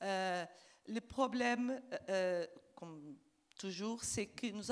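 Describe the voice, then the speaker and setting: A woman speaks with a Portuguese accent at a very slow pace. Her pitch is medium, with ordinary variation. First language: Portuguese (speaking French). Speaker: diplomat. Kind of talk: panel discussion. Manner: halting.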